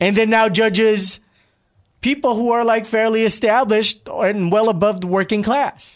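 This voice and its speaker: A high-pitched man talks at a moderate pace in a Californian accent. His loudness is very even and his intonation fairly even. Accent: Californian American English. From Glendale, California (immigrant). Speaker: podcast host. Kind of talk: casual chat.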